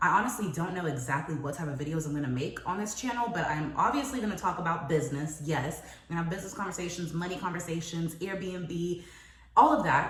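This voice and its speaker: A woman with a fairly low pitch speaks at a very fast pace, with audible room echo and noticeable background noise. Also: ordinary pitch variation. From moved from Paris, France to US at age five. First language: French. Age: 20s. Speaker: entrepreneur and lifestyle vlogger. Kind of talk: personal vlog monologue. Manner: casual, chatty.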